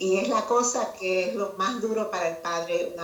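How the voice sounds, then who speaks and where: Talking at a fairly slow pace, a woman with a medium-pitched voice is heard with audible room echo and noticeable background noise. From Cuba. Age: 70s. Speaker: retired judge and children's author. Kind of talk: interview.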